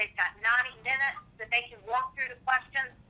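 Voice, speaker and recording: A woman uses a raised, projected voice at high pitch with a bright, sharp tone. Her intonation stays fairly even at a moderate pace. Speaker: software trainer. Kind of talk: tutorial.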